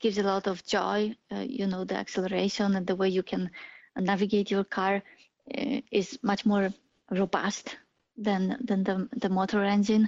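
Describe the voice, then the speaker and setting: A woman with a Polish accent and fairly even intonation. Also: medium pitch for a woman, moderate pace. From Poland. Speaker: AI and autonomous driving engineer. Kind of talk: interview.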